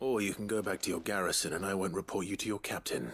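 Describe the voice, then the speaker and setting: A man puts on a raspy character voice, pitched fairly low and delivered at a very fast pace with ordinary pitch variation. Background noise is clearly audible. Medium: video game. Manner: calm, dry.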